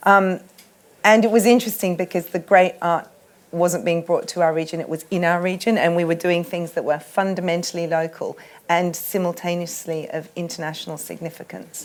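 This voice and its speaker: Fairly low-pitched and with an Australian accent, a woman speaks at a fairly quick pace with fairly even intonation. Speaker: art curator. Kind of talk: panel discussion. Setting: festival tent with audience.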